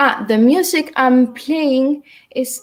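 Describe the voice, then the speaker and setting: A woman with a Uruguayan accent speaks at a high pitch with ordinary pitch variation. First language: Spanish. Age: 20s. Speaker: dance teacher. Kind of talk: online dance class instruction. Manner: halting.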